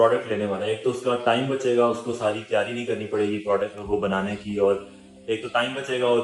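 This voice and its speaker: A man's voice with music playing in the background. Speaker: interviewer. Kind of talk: interview questions.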